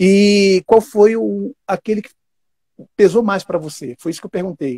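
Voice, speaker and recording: A man's dark, mellow tone at a moderate pace, with dry, close sound and no echo. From Brazil, Northeast. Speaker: talk show host, actor. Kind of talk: casual interview chat.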